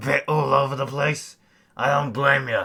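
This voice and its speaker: Fairly slow, raspy delivery from a man in a put-on character voice. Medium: audio drama. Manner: casual, slangy.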